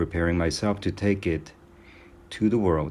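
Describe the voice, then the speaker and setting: A man's very deep, low voice with a non-native accent. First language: not English. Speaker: amateur audiobook reader. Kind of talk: reading aloud. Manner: halting, self-correcting.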